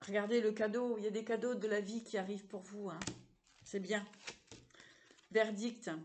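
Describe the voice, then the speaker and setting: The speaker keeps a moderate pace and a flat, monotone delivery broken by long, frequent pauses. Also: woman, fairly high pitch for a woman. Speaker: psychic tarot card reader. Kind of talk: tarot reading for viewers. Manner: hesitant, repeating words.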